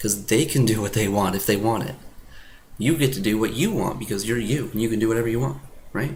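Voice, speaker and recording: With an animated tone and lively intonation, a man speaks at a fairly quick pace and medium pitch, somewhat breathy, with audible room echo. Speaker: self-help video maker, social confidence coach. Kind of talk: casual talking-to-camera advice monologue. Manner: halting, with repeated words and false starts; informal, animated.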